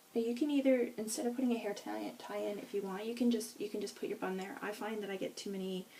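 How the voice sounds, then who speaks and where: The speech comes at a very fast pace with hardly any pauses and ordinary pitch variation. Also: woman, fairly high pitch for a woman. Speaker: beauty vlogger. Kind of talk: hair tutorial. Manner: casual, self-correcting.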